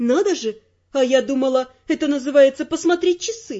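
Putting on a character voice, a woman drawls at a moderate pace in a high pitch. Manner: sarcastic, drawling.

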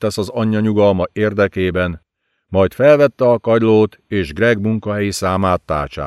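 Plain reading aloud fills the clip over a quiet background. The intonation stays fairly even.

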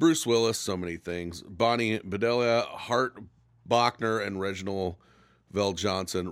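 A man speaks at a fairly slow pace in an ordinary speaking voice. The recording is very clean, with a silent background. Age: 40s. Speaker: podcast host. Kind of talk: casual banter. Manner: joking, crude.

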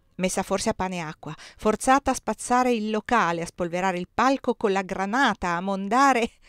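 This is an unforced reading voice. The reading comes across as unforced.

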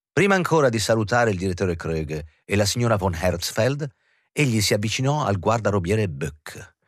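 The voice reads aloud in a natural way, its intonation lively. Behind it, the background stays quiet.

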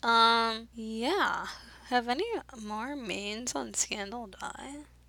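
This woman's voice is fairly high-pitched, with a bright, sharp tone. Her pitch variation is ordinary. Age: 20s. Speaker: podcast co-host. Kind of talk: casual chat.

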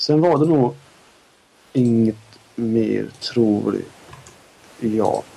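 A man with a Scanian accent at a very slow pace, lively intonation and long, frequent pauses. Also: medium pitch for a man. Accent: Skåne dialect. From southern Sweden (Skåne), parents from Norrbotten. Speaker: podcast co-host. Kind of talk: casual chat.

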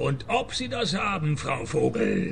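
Using a put-on character voice, a man swings his medium pitch very widely with vocal fry. He speaks fairly slowly against clear background noise.

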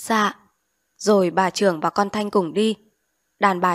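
Against a quiet background comes a natural reading voice with fairly even intonation.

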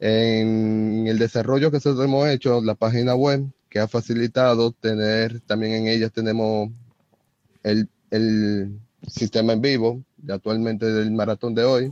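A man with a medium pitch speaks at a fairly slow pace in a monotone, flat intonation, his loudness very even and the sound dry and close with no echo. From Dominican Republic. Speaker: software developer. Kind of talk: live online panel discussion. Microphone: phone mic picking up host's audio.

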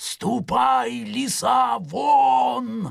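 A put-on character voice growls at a low-to-middle pitch. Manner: menacing howl.

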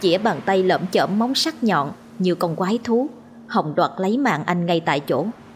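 An unforced reading voice, pitch shifting by ordinary amounts

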